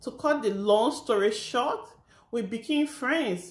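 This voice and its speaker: Her voice is somewhat breathy. This woman speaks with lively intonation. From Liberia. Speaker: vlogger. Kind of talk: casual storytime chat.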